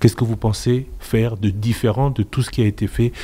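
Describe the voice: The man's tone is dark and mellow.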